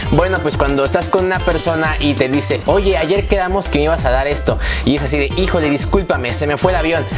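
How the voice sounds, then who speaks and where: A man at a fairly quick pace with hardly any pauses, clear music in the background. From Mexico. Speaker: YouTube vlogger. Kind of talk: casual talk to camera. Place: home room. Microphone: lapel.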